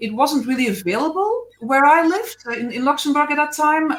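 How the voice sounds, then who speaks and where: A woman with a Belgian accent. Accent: Belgian accent, non-native English. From Belgium. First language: not English (Belgian). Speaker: animal physiotherapist. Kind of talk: interview on a live stream. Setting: Facebook Live video call. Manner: hesitant, many fillers.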